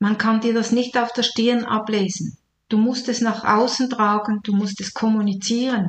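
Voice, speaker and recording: Speaking at a moderate pace, a woman uses a somewhat breathy, fairly high voice with monotone, flat intonation. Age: 60s. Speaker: retired nurse and life coach. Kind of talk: podcast monologue.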